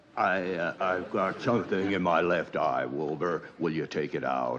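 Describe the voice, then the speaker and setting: He talks at a moderate pace. The man's put-on character voice sits very deep and low. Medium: short film. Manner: wisecracking, sly.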